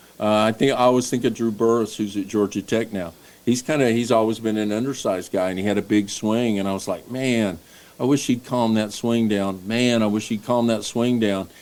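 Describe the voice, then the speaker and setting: Speaking fairly quickly in a Tennessee accent, a man keeps a medium pitch and fairly even intonation on a very clean recording with a silent background. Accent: Southern US (Tennessee). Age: 60s. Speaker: baseball coach. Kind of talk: casual chat.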